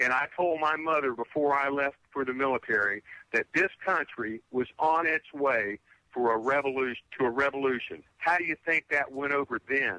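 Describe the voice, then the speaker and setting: A man speaks at a moderate pace in a fairly high pitch, his bright, sharp tone recorded dry and close with no echo. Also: ordinary pitch variation, very even loudness. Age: 60s. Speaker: navy veteran, caller. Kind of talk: heated talk radio discussion. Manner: animated, emphatic with repetitions.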